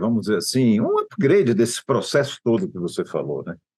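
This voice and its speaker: This man has a medium pitch and speaks at a moderate pace. His pitch swings very widely. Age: 60s. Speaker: trade association executive. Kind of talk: interview.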